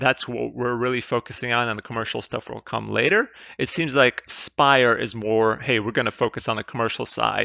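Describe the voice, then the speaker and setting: Speaking with a European accent, a man keeps a moderate pace and a medium pitch. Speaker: investing YouTuber. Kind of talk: casual investment analysis commentary. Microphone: mediocre mic, new mic not yet set up.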